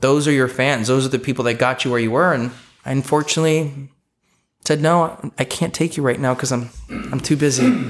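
A man speaks at a moderate pace with a Californian accent. His pitch sits in the medium range and his intonation stays fairly even. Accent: Californian American English. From Los Angeles, California (Eagle Rock). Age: 30s. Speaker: real estate broker. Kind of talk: interview.

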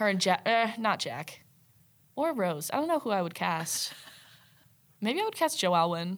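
Speaking at a moderate pace with long, frequent pauses, a woman at a medium pitch uses an animated tone with very wide pitch swings. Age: 20s. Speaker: journalism student. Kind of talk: casual chat.

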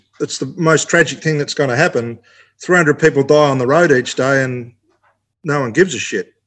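A man with an Australian accent, fairly high in pitch, at a fairly quick pace. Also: fairly even intonation. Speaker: racing driver. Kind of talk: casual chat. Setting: remote call.

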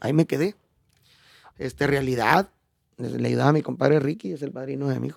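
There is no echo; the sound is dry and close. The voice belongs to a man. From Chihuahua, Mexico. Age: 40s. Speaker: norteño musician. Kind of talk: casual interview.

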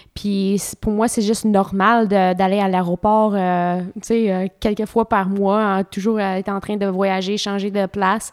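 In a very clean recording with a silent background, a woman speaks very slowly at a medium pitch, flat and monotone, with hardly any pauses. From Ontario, Canada. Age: 30s. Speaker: professional cyclist. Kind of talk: interview. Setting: at home.

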